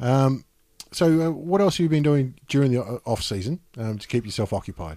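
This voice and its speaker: Here is a man with an Australian accent. His pitch swings very widely. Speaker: podcast host. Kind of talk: casual chat.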